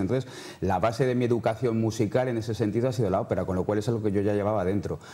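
A man speaks at a very fast pace in a fairly low pitch, his tone dark and mellow and his intonation fairly even. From Madrid, Spain; Spain. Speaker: novelist; interviewee. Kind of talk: TV interview. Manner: halting, many repetitions. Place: studio. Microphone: lapel.

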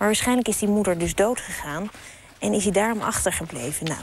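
A woman speaks fairly quickly with ordinary pitch variation. The sound is dry with no echo, over light background noise. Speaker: TV presenter. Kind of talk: presenter commentary to camera. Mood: warm, lightly amused. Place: open country. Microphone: lapel.

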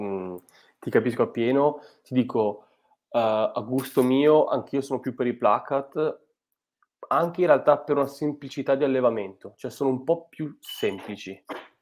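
Against a quiet background, a man talks at a fairly slow pace with long, frequent pauses, big swings in loudness and ordinary pitch variation. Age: young. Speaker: biologist and fish pathologist; livestream host. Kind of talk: live stream interview. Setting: video call. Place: home room. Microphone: earbuds.

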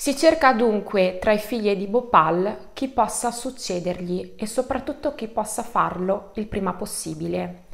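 At a fairly slow pace, a woman talks in a medium pitch with ordinary pitch variation. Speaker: online true crime storyteller. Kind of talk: true-crime narration, collaborative video. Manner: measured, suspenseful storytelling, explanatory. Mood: calm serious narration. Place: home room.

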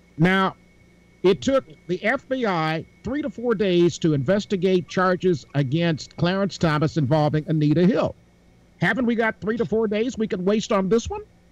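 With lively intonation, a man speaks in a high voice, and the sound is dry with no echo. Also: moderate pace. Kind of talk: casual panel discussion. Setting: video call. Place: home room. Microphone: video call.

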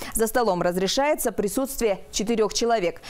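Her voice high and her intonation lively, a woman speaks. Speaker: news reporter. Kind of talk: news reading. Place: studio. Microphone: lapel.

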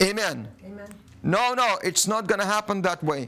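A man's raised, projected voice with lively intonation. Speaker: preacher. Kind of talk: sermon. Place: studio.

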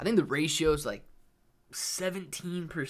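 A man speaks against a quiet background. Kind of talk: casual livestream chat. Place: home room.

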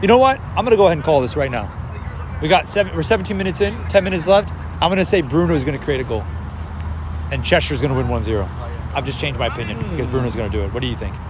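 Very wide pitch swings mark a man's very fast speech, broken by long, frequent pauses, with a dry sound with no echo and noticeable background noise. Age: 30s. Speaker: amateur football commentator; amateur match commentator. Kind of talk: live commentary. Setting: outdoors. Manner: casual. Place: stadium. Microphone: phone near.

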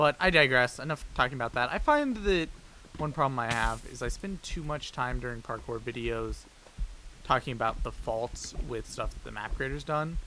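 There is music in the background while a man talks at an even, moderate speed. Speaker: gaming youtuber. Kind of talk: gameplay commentary. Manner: hesitant, many fillers.

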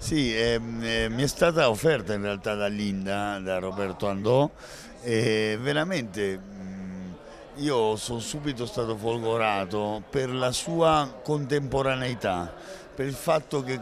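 Talking at a very slow pace, a man is heard over noticeable background noise in a dry sound with no echo. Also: ordinary pitch variation. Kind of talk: interview answer. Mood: thoughtful, engaged. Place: hall. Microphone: handheld.

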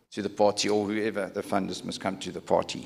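A man with a normal speaking voice, fairly low in pitch, at a fairly quick pace. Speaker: solar company founder. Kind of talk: panel discussion. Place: hall. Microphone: handheld.

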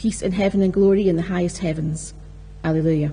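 The pace here is fairly quick. The speaker is a woman. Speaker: lector reading scripture. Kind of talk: reading aloud scripture. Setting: church. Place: church. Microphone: podium.

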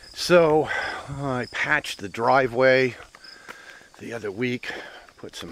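A man talks at a fairly slow pace with ordinary pitch variation. The sound is dry with no echo, over light background noise. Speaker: property owner vlogger. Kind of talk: casual vlog chat. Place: forest. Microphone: phone near.

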